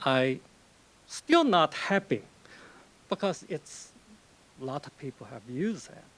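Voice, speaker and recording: A man talks at a fairly high pitch with lively intonation. His loudness swings widely, and he pauses long and often. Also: fairly slow pace. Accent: Chinese. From China. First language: Chinese. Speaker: novelist. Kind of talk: lecture. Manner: conversational, with frequent fillers.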